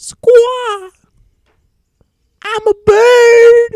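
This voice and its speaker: A put-on character voice at an extremely high pitch with monotone, flat intonation. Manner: loud, squawking.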